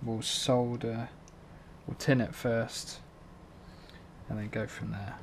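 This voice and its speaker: With a British accent, a man speaks at a medium pitch and a fairly slow pace, his intonation fairly even. Long, frequent pauses break up his speech over noticeable background noise. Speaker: drone hobbyist. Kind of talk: tutorial. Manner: monotone; hesitant, filler-heavy.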